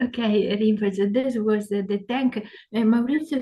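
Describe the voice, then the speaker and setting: A woman speaks in an Italian accent with a dark, mellow tone. Her voice is somewhat breathy and her intonation fairly even. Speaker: interpreter. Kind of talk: consecutive interpreting. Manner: halting, many fillers.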